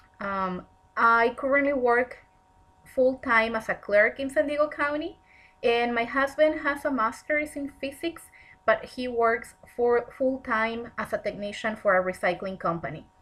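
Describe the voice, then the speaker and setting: Speaking at a fairly slow pace, a woman with a Spanish accent has a high pitch and ordinary pitch variation. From Mexico, Tijuana. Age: 30s. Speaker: counseling student. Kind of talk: personal presentation.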